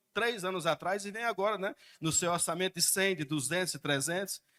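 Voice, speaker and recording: A man projects a raised, high-pitched voice with a bright, sharp tone, recorded dry and close with no echo in a very clean recording with a silent background. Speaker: citizen speaking at public hearing. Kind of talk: public hearing comment. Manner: fast.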